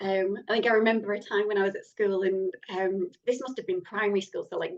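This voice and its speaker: A woman speaks with a Lancashire accent. Her pace is fairly quick. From northern England (Lancashire). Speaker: horror novelist. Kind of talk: interview.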